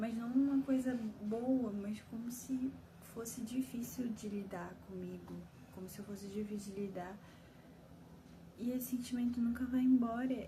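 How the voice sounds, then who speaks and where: A fairly high-pitched woman speaks at a fairly slow pace with long, frequent pauses and fairly even intonation. Her loudness swings widely, and noticeable background noise is present. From Belém, Brazil. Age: 20s. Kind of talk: personal vent to camera. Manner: emotional, confessional.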